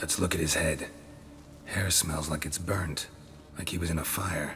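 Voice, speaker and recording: Someone performs a put-on character voice at a moderate pace. Clear background noise can be heard. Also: man, very deep, low pitch for a man. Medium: machinima. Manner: terse, clipped, deadpan.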